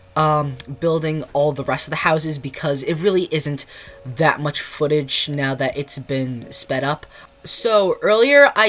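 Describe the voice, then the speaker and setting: Fairly slow speech against noticeable background noise. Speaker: gaming youtuber. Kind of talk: gameplay commentary. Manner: stutter; halting, many fillers.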